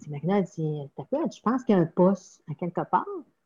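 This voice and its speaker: A woman speaks in a dark, mellow tone that is somewhat breathy, with very wide pitch swings. The sound is dry and close, with no echo. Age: 60s. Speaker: parish pastoral worker. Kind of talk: interview. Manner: halting.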